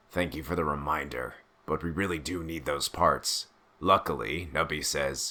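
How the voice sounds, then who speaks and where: A man's put-on character voice, raspy and very deep, at a moderate pace with fairly even intonation. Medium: read story. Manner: blunt, impatient.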